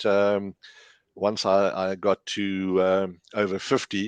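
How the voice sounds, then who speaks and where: In a dry, close sound with no echo and a quiet background, a man speaks at a fairly low pitch. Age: 60s. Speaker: amateur golfer. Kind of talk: testimony. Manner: halting.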